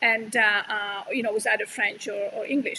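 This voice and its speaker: This woman has an Italian accent. She speaks at a fairly quick pace. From Italy. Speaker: yarn company owner and channel host. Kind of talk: casual chat. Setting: live stream. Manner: hesitant, many fillers.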